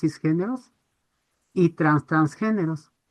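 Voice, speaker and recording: This is a woman's voice. Its pitch is fairly low. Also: dry, close sound with no echo. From Ecuador, Quito. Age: 60s. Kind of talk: webinar audience comment.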